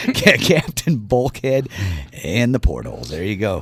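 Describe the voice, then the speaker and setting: A man speaks with very wide pitch swings. Noticeable background noise is present. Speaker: radio co-host reading event listings. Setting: radio studio.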